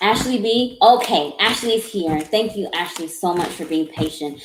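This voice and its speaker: A woman's voice at a moderate pace with ordinary pitch variation, over noticeable background noise. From US South. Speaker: tarot reader. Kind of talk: live-stream tarot reading. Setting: live stream from home office. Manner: halting.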